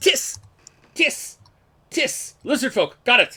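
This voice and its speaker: The voice is a put-on character voice with a high pitch. It moves at a very slow pace. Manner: bored, flat.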